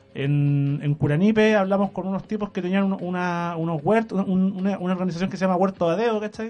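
A man with a Chilean accent speaks at a fairly quick pace with hardly any pauses, his high voice showing ordinary pitch variation. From Chile, Maule region. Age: 20s. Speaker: young writer and sociology student. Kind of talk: casual radio interview. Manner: hesitant, with many fillers and restarts.

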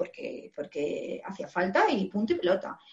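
A somewhat breathy woman's voice, medium in pitch, with an animated tone. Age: 40s. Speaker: former hairdresser turned digital marketer. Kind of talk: interview.

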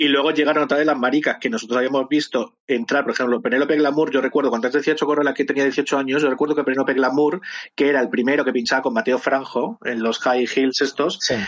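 This man's fairly high voice moves at a very fast pace, with ordinary pitch variation and very even loudness. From Madrid, Spain. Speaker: drag performer and musician. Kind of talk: casual chat.

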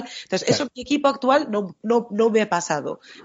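A woman talks at a very fast pace. Her pitch sits fairly high. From Spain, Bilbao. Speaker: software developer and podcast host. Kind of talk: casual chat.

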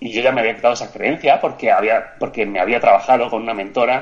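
With ordinary pitch variation and a fairly quick pace, the man has a normal speaking voice. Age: 40s. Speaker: physiotherapist, coach and author. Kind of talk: casual interview.

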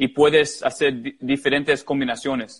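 He speaks with an English accent and a fairly high pitch. The background is quiet. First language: English (speaking Spanish). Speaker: goalkeeper coach. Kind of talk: interview. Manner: halting.

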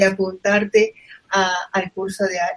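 A woman with a medium pitch speaks at a fairly slow pace in a monotone, flat intonation. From Argentina. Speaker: podcast host. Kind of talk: interview.

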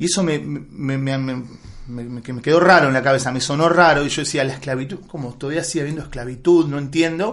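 Audible room echo surrounds a man with a fairly high pitch who speaks at a fairly quick pace with ordinary pitch variation. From Buenos Aires, Argentina. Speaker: film director and writer. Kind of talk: interview. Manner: halting, many repetitions.

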